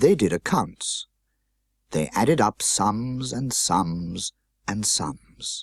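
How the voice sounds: On a very clean recording with a silent background, a man's voice carries a slightly husky edge in a dry, close sound with no echo.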